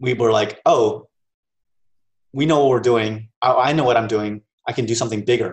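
With long, frequent pauses, a man speaks in a somewhat breathy voice, keeping his loudness very even and his intonation fairly even. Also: medium pitch for a man, moderate pace. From Maryland, US. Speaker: tech entrepreneur and co-founder of a film review site. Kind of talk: interview.

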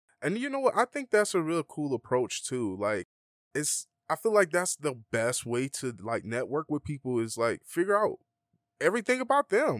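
Fairly high in pitch, a man with an Atlanta accent talks with very wide pitch swings. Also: moderate pace, dry, close sound with no echo, very clean recording, silent background. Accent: Atlanta, US South. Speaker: DJ and music producer. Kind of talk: casual interview. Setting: studio.

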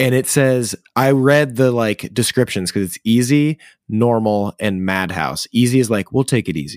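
A man at medium pitch talks at a moderate pace with ordinary pitch variation, big swings in loudness and hardly any pauses, in a dry, close sound with no echo. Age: 20s. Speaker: guest co-host. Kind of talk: casual chat. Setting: remote call from home.

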